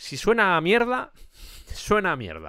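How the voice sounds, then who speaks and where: A man talks with vocal fry. The recording is very clean, with a silent background. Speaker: music podcast host. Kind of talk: music analysis monologue.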